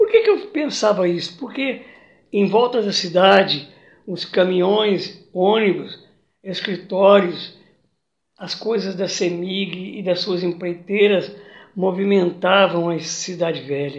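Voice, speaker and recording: Here a man speaks at a very slow pace. His pitch is high. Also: ordinary pitch variation. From Minas Gerais, Brazil (Triângulo Mineiro). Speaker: retired teacher and local historian, artist. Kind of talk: interview, personal life story.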